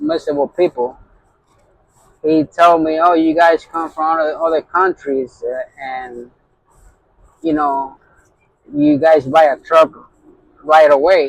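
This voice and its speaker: The sound is dry and close, with no echo. A man with a fairly high pitch speaks at a fairly slow pace. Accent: strong Puerto Rican. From Puerto Rican, grew up in New York. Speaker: truck driver, owner operator. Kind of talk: casual vlog talk.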